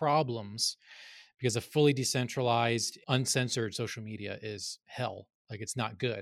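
On a very clean recording with a silent background, a man with an American accent speaks in an ordinary speaking voice at medium pitch and a fairly quick pace. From North Carolina. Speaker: screenwriter and crypto commentator. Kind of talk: casual chat.

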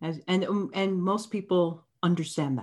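A woman with a Canadian accent and an ordinary speaking voice, fairly low in pitch, with ordinary pitch variation, on a very clean recording with a silent background. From Canada. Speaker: anti-bias facilitator. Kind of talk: interview.

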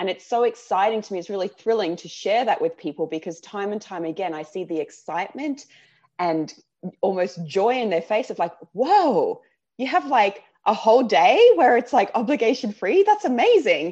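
Against a quiet background, a woman with an Australian accent talks at a moderate pace and a fairly high pitch, with very wide pitch swings and big swings in loudness. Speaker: life coach. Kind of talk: casual chat. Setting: video call from home.

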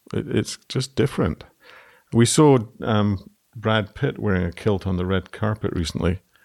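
A man with a Scottish accent speaks at a moderate pace and a fairly low pitch, with ordinary pitch variation. The recording is very clean and dry, with a silent background and no echo. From Scotland. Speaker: textile designer. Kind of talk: casual chat.

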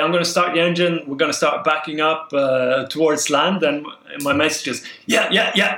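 A man with a Norwegian accent speaks at a fairly high pitch. Audible room echo surrounds his voice. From southern Norway. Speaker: spearfisher. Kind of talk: casual chat.

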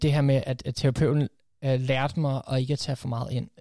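Somewhat breathy and dark, mellow in tone, the man talks at medium pitch with fairly even intonation. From USA (half American, first 12 years), then Denmark. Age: 30s. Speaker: coach and podcaster. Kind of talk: casual interview. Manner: halting, many fillers.

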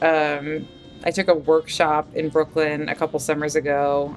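With music playing in the background, a woman with an American accent and a very deep, low voice speaks at a moderate pace. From US, Maryland suburbs of DC. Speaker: novelist. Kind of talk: casual interview.

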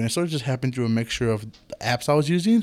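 Here a man speaks at a very fast pace. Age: 20s. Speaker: startup founder. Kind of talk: interview.

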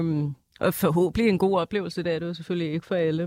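A woman uses a normal speaking voice with a fairly low pitch and fairly even intonation. The recording is very clean, with a silent background and a dry, close sound with no echo. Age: 20s. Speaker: nursing student, former nightclub bartender. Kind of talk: casual chat.

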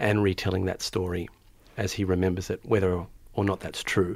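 In an Australian accent, a man talks at a fairly quick pace with a very deep, low pitch and monotone, flat intonation, on a very clean recording with a silent background. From Melbourne, Australia. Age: 30s. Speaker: novelist and teacher. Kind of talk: interview. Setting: studio.

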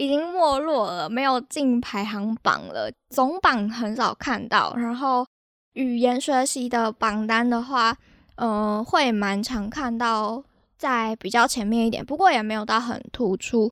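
At a fairly slow pace, a woman with a high pitch speaks on a very clean recording with a silent background. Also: ordinary pitch variation, dry, close sound with no echo. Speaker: podcast host. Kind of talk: casual solo podcast talk. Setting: home recording.

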